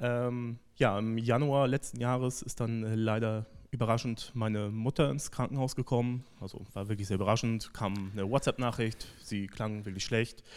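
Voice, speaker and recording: A man speaks at a moderate pace in a normal speaking voice, his pitch medium and his intonation fairly even. The recording is very clean, with a silent background. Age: 30s. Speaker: church member giving testimony. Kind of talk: testimony.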